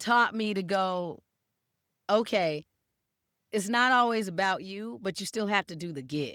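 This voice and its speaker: A woman speaks at a fairly slow pace with long, frequent pauses and a medium pitch. Her tone is bright and sharp, her intonation lively, her loudness swings widely, and the recording is very clean with a silent background. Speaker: comedian. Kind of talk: interview answer.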